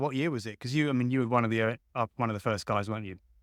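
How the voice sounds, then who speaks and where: In a very clean recording with a silent background, a man talks with an English accent. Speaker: podcast host. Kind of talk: interview. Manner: talkative.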